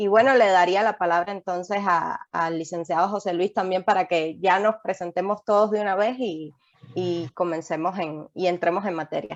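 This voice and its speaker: Speaking with a Cuban accent, a woman uses a medium pitch and fairly even intonation at a moderate pace. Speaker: lawyer. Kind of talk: webinar presentation.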